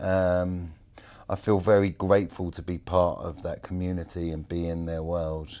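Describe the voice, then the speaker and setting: A very deep, low male voice with a dark, mellow tone, monotone, flat intonation, and a fairly slow pace against a quiet background. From England. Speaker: baker. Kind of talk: casual interview. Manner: casual, with many fillers.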